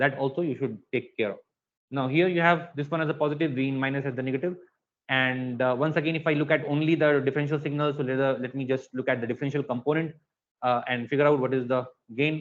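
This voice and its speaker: A man's fairly high voice at a very fast pace, with fairly even intonation. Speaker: lecturer. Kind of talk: lecture.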